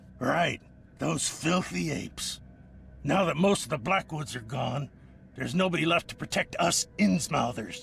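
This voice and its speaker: A raspy, put-on character voice from a man, fairly high-pitched, at a moderate pace over clear background noise. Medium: video game. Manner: defensive, bitter.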